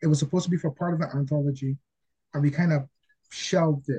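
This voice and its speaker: A man speaks at a fairly quick pace in a fairly high pitch, his tone dark and mellow and somewhat breathy. His intonation stays fairly even, and the sound is dry and close with no echo. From Barbados. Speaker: comic book writer. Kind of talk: interview.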